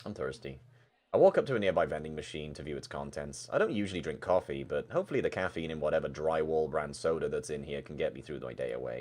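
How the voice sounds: At a fast pace, a man talks with an extremely low pitch, lively intonation and a slightly mellow tone.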